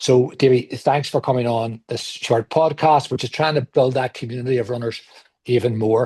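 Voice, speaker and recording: With a Belfast accent, a man speaks at a medium pitch in a dark, mellow tone that is somewhat breathy. The sound is dry and close, with no echo. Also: fairly even intonation, moderate pace. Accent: Belfast, Northern Irish. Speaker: podcast host. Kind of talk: podcast interview.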